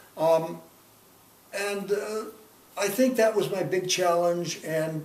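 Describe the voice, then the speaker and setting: The speech moves at a very slow pace against noticeable background noise. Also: man. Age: 80s+. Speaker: organizational trainer. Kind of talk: interview answer.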